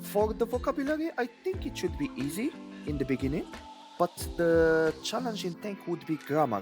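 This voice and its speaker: Music plays in the background. A man speaks at a moderate pace with a Moroccan accent. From Morocco. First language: Moroccan Arabic. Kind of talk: interview answer.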